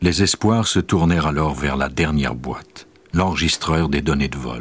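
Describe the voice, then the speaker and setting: Noticeable background noise sits behind a man with a very deep, low pitch, speaking at a fairly slow pace with ordinary pitch variation. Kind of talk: true-crime documentary narration. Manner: measured, even, grave storyteller's delivery; formal, steady pace, dramatic and detached.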